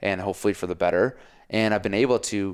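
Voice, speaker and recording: At a fairly quick pace and a fairly low pitch, a man speaks in a very clean recording with a silent background. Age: 30s. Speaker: podcast co-host. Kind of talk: casual chat. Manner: animated.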